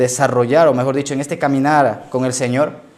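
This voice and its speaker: Medium-pitched male voice with audible room echo. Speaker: pastor. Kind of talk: sermon.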